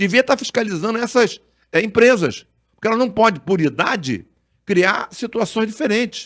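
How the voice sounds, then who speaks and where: Animated in tone, a man talks at a moderate pace in a high pitch with lively intonation, on a very clean recording with a silent background. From Brazil, Duque de Caxias (Rio de Janeiro). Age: 70s. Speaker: doctor and former politician. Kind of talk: podcast interview. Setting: studio.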